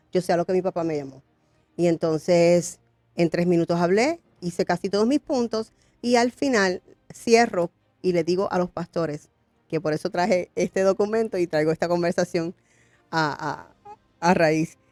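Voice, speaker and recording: The sound is dry and close with no echo. A woman with fairly low pitch and ordinary pitch variation speaks with long, frequent pauses. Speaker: pastor and congressional candidate. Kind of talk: interview testimony. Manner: fast.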